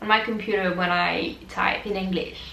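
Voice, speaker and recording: Her voice sits at a medium pitch. The woman is heard through noticeable background noise and audible room echo. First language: French. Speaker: vlogger, exchange student. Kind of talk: casual vlog monologue.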